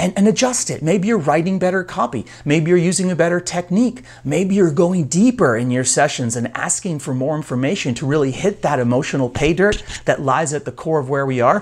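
A man speaks fairly quickly, his intonation lively, with a quiet background behind him. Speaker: coach. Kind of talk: motivational talk to camera. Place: office. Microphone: lapel.

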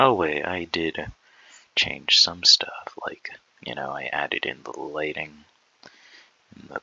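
A man whispers. His pace is very slow. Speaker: programmer showing a project. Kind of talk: tutorial. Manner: casual, filler-heavy.

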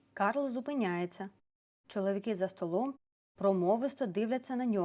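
The background stays quiet while an unforced reading voice is heard.

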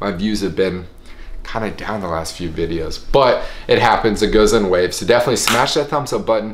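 A man with an American accent talks at a fairly quick pace. Light background noise and audible room echo are present. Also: fairly low pitch for a man, ordinary pitch variation. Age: 20s. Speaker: airline pilot and vlogger; vlogger. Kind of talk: casual vlog monologue. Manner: animated.

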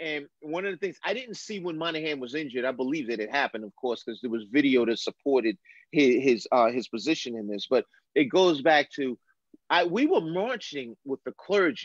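An unremarkable speaking voice with an American accent moves at a fairly quick pace with lively intonation. The sound is dry and close with no echo, over a quiet background. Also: man, fairly high pitch for a man. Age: 50s. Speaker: retired police lieutenant, criminal justice expert. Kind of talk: casual chat. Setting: video call.

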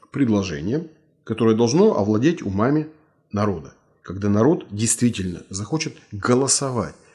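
Against a quiet background, a man speaks at a moderate pace with lively intonation. His tone is dark and mellow. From Russia. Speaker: writer and martial arts master. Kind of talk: interview. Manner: blunt. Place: office. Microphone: studio mic.

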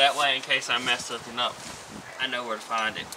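Noticeable noise can be heard behind a man as he talks. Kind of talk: tutorial. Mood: casual, joking. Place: open country. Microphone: phone near.

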